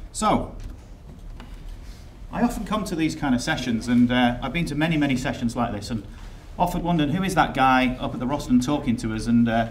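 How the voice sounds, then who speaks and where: A man with an English accent talks at a fairly quick pace, his pitch medium and his intonation lively. Long, frequent pauses break up his speech, and the room echo is audible. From England. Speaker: software company executive. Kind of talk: conference presentation. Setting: stage with audience.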